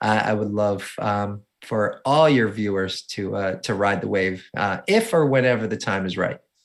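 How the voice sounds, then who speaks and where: With hardly any pauses, a man with a New Jersey accent speaks at a moderate pace and a fairly low pitch. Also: ordinary pitch variation, very clean recording, silent background. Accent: New Jersey accent, noticeable. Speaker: motivational speaker and adaptive surfer. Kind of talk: interview.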